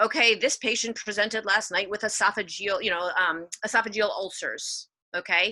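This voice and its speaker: A woman's voice has a fairly high pitch and a bright, sharp tone. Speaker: pediatrician and education speaker. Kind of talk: workshop talk. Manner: fast.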